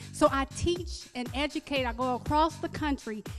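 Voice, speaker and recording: With music in the background, a woman talks at a moderate pace in a high voice with ordinary pitch variation. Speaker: holistic doctor and health educator. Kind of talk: casual interview answer telling personal story.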